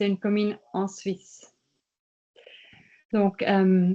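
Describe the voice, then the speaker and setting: A woman speaks with a Swiss German accent. Her tone is dark and mellow. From German-speaking Switzerland. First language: Swiss German (speaking French). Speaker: participation project manager. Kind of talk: workshop presentation.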